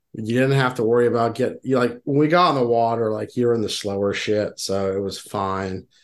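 An ordinary speaking voice with an American accent moves at a fairly quick pace with hardly any pauses and ordinary pitch variation. The background is quiet. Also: man, medium pitch for a man. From Texas, Houston. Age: 40s. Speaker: podcast co-host, angler. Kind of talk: casual chat.

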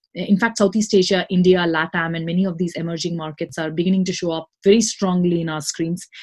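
Somewhat breathy and fairly low-pitched, a woman talks at a very fast pace with hardly any pauses. Her intonation stays fairly even. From Singapore. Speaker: venture capital partner. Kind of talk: interview.

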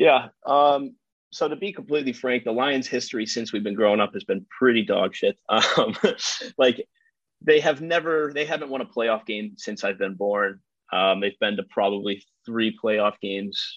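Speaking at medium pitch in a plain, everyday voice, a man has an American accent. He keeps a moderate pace with lively intonation. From Detroit, Michigan, then Tennessee. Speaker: sports fan, podcast guest. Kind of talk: casual chat.

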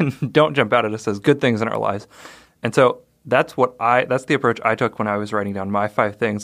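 Ordinary pitch variation marks a normal speaking voice on a very clean recording with a silent background. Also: man. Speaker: podcast co-host. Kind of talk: casual chat.

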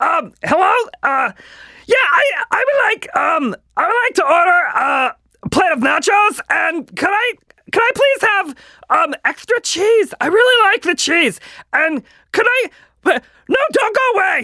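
An extremely high, put-on character voice speaks with long, frequent pauses. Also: fairly slow pace. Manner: loud then quiet, a little lispy.

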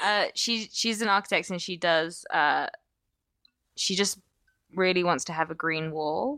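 A woman with an English accent at a fairly low pitch, ordinary pitch variation, a fairly slow pace and long, frequent pauses, in a very clean recording with a silent background. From England (London). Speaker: comedian. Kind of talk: casual chat.

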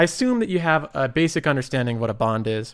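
Talking at a very fast pace, a man with a medium-pitched voice and ordinary pitch variation comes through on a very clean recording with a silent background. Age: 20s. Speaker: investing YouTuber. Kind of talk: casual solo commentary.

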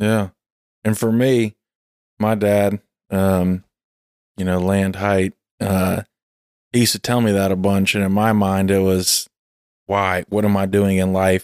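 A man speaks in a Southern US accent, fairly slow and fairly low-pitched, with monotone, flat intonation, very even loudness and long, frequent pauses. The recording is very clean with a silent background and a dry, close sound with no echo. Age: 30s. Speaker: podcast host. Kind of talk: casual chat.

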